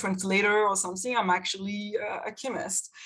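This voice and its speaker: A woman with a French accent talks at a fairly quick pace. Her pitch sits in the medium range, with ordinary variation. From France. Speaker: chemistry professor. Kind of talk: panel discussion. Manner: halting.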